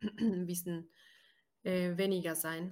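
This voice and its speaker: The woman's voice sits fairly low and stays monotone, with flat intonation. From Brazil. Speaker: podcast co-host. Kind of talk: casual podcast interview.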